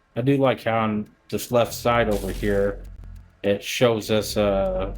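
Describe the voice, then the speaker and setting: Music plays behind a man. He talks at a very slow pace. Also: medium pitch for a man. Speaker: gaming youtuber. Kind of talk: gameplay commentary. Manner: halting.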